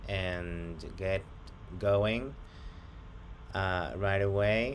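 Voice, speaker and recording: A man talks at a fairly low pitch in a space with audible room echo. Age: 30s. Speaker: job applicant. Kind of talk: job interview. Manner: hesitant.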